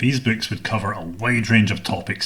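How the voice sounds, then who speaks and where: Speaking in a Scottish accent, a man uses a fairly low pitch with ordinary pitch variation. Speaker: podcast host. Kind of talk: scripted narration. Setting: home studio.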